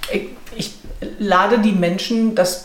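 Over noticeable background noise and audible room echo, a woman speaks very slowly at a medium pitch with fairly even intonation. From Ruhr area, Germany. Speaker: management consultant and author. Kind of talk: interview conversation.

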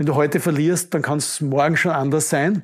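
A man with a plain, everyday voice speaks with ordinary pitch variation in a very clean recording with a silent background. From Austria, Upper Styria (Judenburg). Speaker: construction company executive. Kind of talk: interview. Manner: repetitive false starts.

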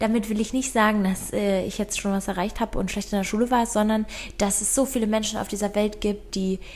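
Here a woman speaks at a medium pitch. Her voice is somewhat breathy. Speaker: podcast co-host. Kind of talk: casual chat.

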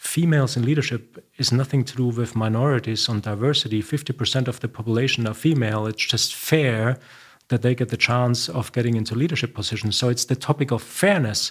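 A man with a German accent, somewhat breathy, medium in pitch, with ordinary pitch variation and a fairly quick pace. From Germany, Bavaria. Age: 50s. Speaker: company CEO. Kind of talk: interview. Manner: soft-spoken.

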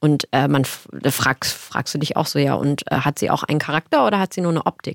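A woman with a very deep, low voice and vocal fry talks at a fairly quick pace, with hardly any pauses, very even loudness and ordinary pitch variation. The recording is very clean and silent in the background, dry and close with no echo. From Germany, Cologne area and Eifel. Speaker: actress and diversity campaigner. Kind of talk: podcast interview.

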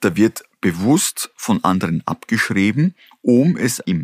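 An unremarkable speaking voice: a man with a fairly low pitch and lively intonation, in a very clean recording with a silent background. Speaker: company founder and CEO. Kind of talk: interview.

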